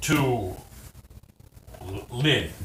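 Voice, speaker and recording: A man puts on a character voice, pitched in the medium range. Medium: actual play. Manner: broken simple speech.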